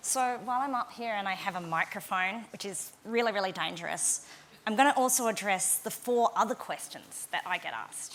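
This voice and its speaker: At a fairly quick pace, a woman with a fairly high pitch speaks with an Australian accent. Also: ordinary pitch variation. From Western Australia. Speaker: winemaker. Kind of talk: conference talk. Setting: stage with audience.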